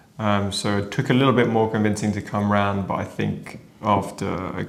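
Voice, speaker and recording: With a British accent, a man speaks at a fairly low pitch and a fairly quick pace. Audible room echo and noticeable background noise come through. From UK. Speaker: renovation vlogger. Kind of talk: casual chat.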